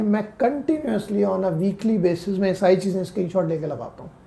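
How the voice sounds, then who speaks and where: His pitch is high, with ordinary variation. The man's tone is dark and mellow. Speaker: personal branding coach. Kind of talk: podcast interview.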